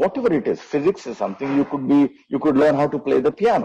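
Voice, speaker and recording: This man's voice swings very widely in pitch. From India, Ranchi (Jharkhand). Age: 50s. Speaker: venture capitalist. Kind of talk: interview conversation. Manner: halting.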